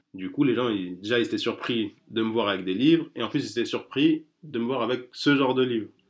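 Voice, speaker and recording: At a fairly quick pace with hardly any pauses, a man speaks at a medium pitch with ordinary pitch variation. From France. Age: 30s. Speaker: street bookseller. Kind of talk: interview. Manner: halting.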